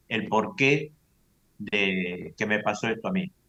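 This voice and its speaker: A man's bright, sharp voice with a Rioplatense accent. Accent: Argentine Rioplatense Spanish. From Argentina. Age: 70s. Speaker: UFO abductee, lecturer. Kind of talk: testimony.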